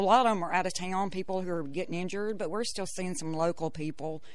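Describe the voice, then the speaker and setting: Someone talks at a very fast pace in a Southern US accent. Audible room echo is present. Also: woman. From Mississippi Delta. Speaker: nurse. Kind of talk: interview.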